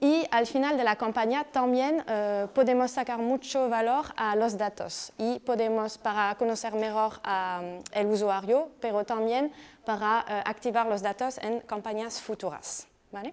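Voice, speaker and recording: With a French accent, a woman speaks at a fairly slow pace. Her pitch is fairly high, with ordinary variation. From France. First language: French (speaking Spanish). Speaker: digital marketing professional. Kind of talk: presentation. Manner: halting.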